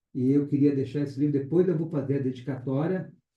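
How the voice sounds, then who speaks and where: Somewhat breathy and fairly high-pitched, a man talks at a moderate pace with fairly even intonation. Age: 60s. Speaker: pastor. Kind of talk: testimony.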